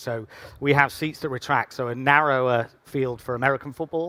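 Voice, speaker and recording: A man with an English accent and fairly even intonation, in a dry, close sound with no echo. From England. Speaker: football club president. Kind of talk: panel interview.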